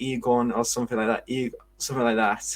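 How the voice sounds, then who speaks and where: Monotone, flat intonation in a Geordie accent. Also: man. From northern England, Newcastle. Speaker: football podcast co-host. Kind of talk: casual chat. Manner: halting.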